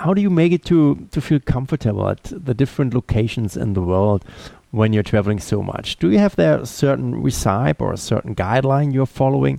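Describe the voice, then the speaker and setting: A man's dark, mellow voice with a German accent, very wide pitch swings, and a dry, close sound with no echo. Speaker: podcast host. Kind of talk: interview. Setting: Skype call. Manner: formal.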